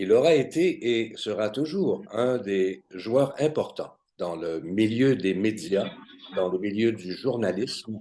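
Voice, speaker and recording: With a dark, mellow tone, the speaker talks at a very slow pace using lively intonation. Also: man, fairly low pitch for a man. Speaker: cultural talk show host. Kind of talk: interview questions.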